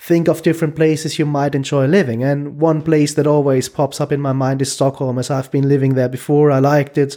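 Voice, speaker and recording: With a German accent, a man speaks at a moderate pace in a fairly high pitch with a dark, mellow tone. The recording is very clean, with a silent background. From Germany. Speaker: podcast guest. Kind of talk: casual interview.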